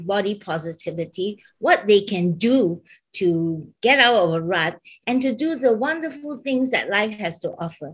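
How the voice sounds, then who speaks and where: A woman with a normal speaking voice talks at a fairly slow pace in a fairly high pitch. Her intonation is lively, and the background is quiet. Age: 60s. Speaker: fashion business founder. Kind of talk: panel talk show discussion.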